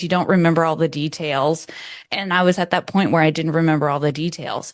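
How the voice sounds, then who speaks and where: With a Southern US accent, a woman talks in a fairly low pitch and fairly even intonation against a quiet background. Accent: American Southern. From US South, New Orleans. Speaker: birth photographer. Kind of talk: interview.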